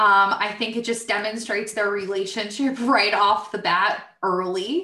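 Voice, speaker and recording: In a New Jersey accent, a woman speaks with a fairly high pitch and a bright, sharp tone. Her pace is fairly slow with ordinary pitch variation, and audible room echo surrounds her. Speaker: podcast host, IT professional. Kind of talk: casual chat.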